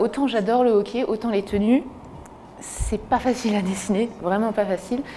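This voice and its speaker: Her pitch is fairly high for a woman. She speaks at a moderate pace with fairly even intonation. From France, Alsace (Strasbourg). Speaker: illustrator. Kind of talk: interview testimony. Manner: hesitant, many fillers.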